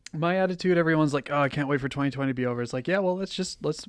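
A man is speaking. The background is quiet. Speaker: podcast co-host. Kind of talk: casual chat; show outro announcements. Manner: put-on podcast voice at start.

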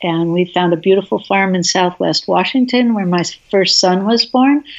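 A woman's lively intonation rides on an unremarkable speaking voice, pitched medium and delivered at a moderate pace. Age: 60s. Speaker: herbalist. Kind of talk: interview conversation. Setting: remote audio call.

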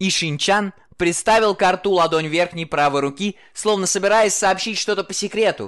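The pitch moves in an ordinary way. It is plain reading aloud.

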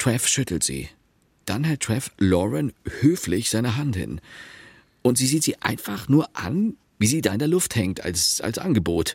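A man's put-on character voice, medium in pitch, slightly mellow with a slightly husky edge, with big pitch swings at a fairly slow pace.

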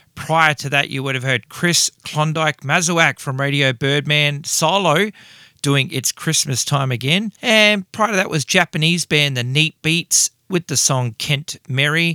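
Speaking with an Australian accent, a man at a fairly high pitch sounds animated and enthusiastic, his tone bright and sharp, with ordinary pitch variation and a fairly slow pace. The sound is dry and close with no echo, on a very clean recording with a silent background. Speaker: rock radio show host. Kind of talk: radio dj patter. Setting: radio studio. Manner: animated, enthusiastic, casual; chatty, rambling fan talk.

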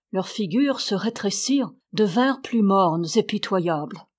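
Lively intonation in an unforced reading voice

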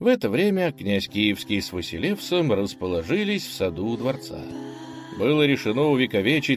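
The voice reads in a natural way.

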